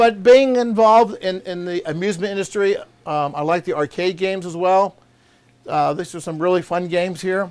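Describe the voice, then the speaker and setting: Moderate pace, ordinary pitch variation and a high pitch from a man. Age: 60s. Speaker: arcade collector and expo founder. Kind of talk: casual chat. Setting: home basement.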